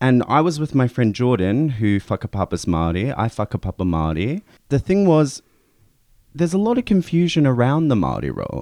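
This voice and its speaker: With a New Zealand accent, a man talks fairly quickly at medium pitch with very wide pitch swings, in a dry, close sound with no echo and a quiet background. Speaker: radio host. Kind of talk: radio interview. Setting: studio.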